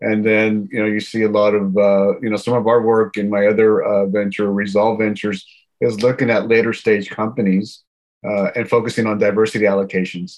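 Here a man speaks with an American accent at a fairly low pitch. His delivery is fairly quick and monotone, with flat intonation. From Houston, Texas. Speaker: tech founder and investor. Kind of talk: interview.

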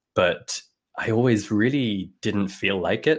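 The voice is a man's, in an English accent. Its pitch moves in an ordinary way. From London. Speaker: music education company founder. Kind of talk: interview conversation. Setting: remote call.

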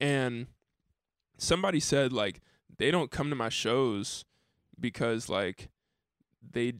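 A man with an American accent speaks at a medium pitch with lively intonation and vocal fry. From Dayton, Ohio, US Midwest. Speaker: musician. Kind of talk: casual chat. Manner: halting.

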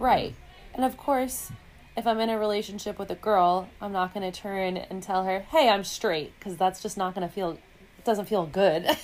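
In a plain, everyday voice, a woman with an American accent talks at a moderate pace and a medium pitch with ordinary pitch variation. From New York City, Manhattan. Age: 20s. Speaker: podcast guest. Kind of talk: casual chat.

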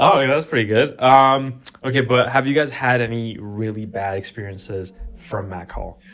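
An ordinary speaking voice from a man, medium in pitch, at a moderate pace, with ordinary pitch variation and big swings in loudness. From Pakistani heritage, Canada. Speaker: student podcast host. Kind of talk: casual chat.

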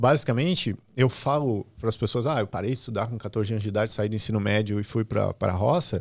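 On a very clean recording with a silent background, a man speaks very fast at a medium pitch with ordinary pitch variation and hardly any pauses. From Brazil, Rio Grande do Sul (Santa Cruz do Sul). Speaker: digital platform executive. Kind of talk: interview.

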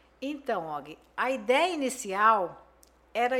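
A woman speaks in a raised, projected voice at a very slow pace, her high pitch swinging very widely. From Brazil, Campo Grande, Mato Grosso do Sul. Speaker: businesswoman. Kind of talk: interview.

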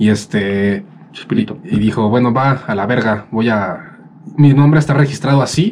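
Noticeable background noise sits behind a man speaking at a moderate pace. His medium-pitched voice carries lively intonation. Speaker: podcast co-host. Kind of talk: casual chat.

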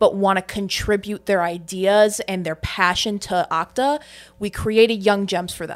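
A woman's medium-pitched, plain, everyday voice at a moderate pace, with fairly even intonation. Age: 20s. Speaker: stage manager. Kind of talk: casual chat. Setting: studio.

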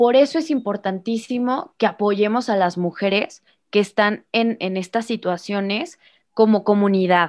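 At a fairly slow pace, a woman talks in an ordinary speaking voice with medium pitch and ordinary pitch variation. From Mexico, Irapuato, Guanajuato (Bajío). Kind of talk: casual interview.

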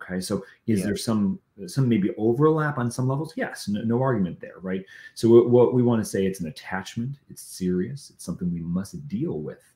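At a fairly quick pace, a man with a medium pitch and a dark, mellow tone speaks with lively intonation and big swings in loudness. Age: 40s. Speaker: founder of a recovery coaching ministry. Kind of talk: casual chat.

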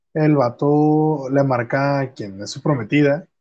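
A man's fairly high voice has a dark, mellow tone. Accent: Mexican. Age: 20s. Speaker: podcast host. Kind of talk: casual chat.

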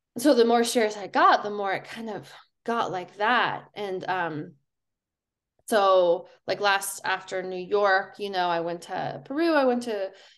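Against a quiet background, a woman with an American accent and an unremarkable speaking voice talks at a fairly slow pace and a medium pitch, with ordinary pitch variation. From Colorado. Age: 30s. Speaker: professional runner. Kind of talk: casual chat.

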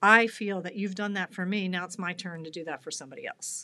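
This is a normal speaking voice with fairly even intonation. The recording is very clean, with a silent background. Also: woman. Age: 50s. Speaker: fitness coaching client. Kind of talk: interview.

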